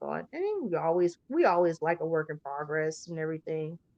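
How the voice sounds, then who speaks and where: Here a woman with an American accent has a fairly low pitch. She talks at a fairly quick pace in a dry, close sound with no echo. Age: 40s. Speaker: horror show host. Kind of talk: casual chat. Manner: animated.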